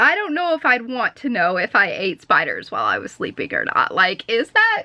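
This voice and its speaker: A woman's animated, raised and projected voice, high in pitch, at a moderate pace. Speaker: vlogger. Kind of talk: casual vlog chat. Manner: loud, projecting.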